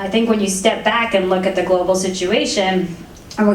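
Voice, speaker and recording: A woman speaks very fast at a medium pitch, her intonation monotone and flat. Audible room echo and noticeable background noise fill the recording. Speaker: energy regulatory commissioner. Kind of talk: fireside chat interview.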